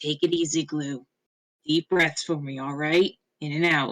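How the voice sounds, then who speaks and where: A rumbling put-on character voice holds a middle pitch at a moderate pace. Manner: soothing, calming.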